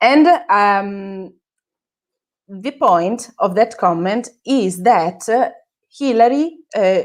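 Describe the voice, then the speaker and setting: Speaking very slowly with long, frequent pauses, a woman with an Italian accent uses lively intonation at a fairly high pitch. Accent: Italian accent, self-described as terrible. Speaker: social media manager. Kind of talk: interview. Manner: halting, many fillers.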